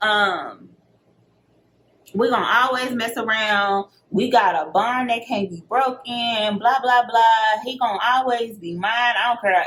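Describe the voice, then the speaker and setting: A bright, sharp tone in a Texan accent, at a fairly slow pace with ordinary pitch variation. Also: woman. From Texas. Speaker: beauty vlogger. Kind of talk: casual storytime talk to camera.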